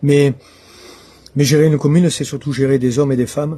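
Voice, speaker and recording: A man's somewhat breathy voice, dark and mellow in tone, with fairly even intonation. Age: 60s. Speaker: local election candidate. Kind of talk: interview. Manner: hesitant, many filler sounds.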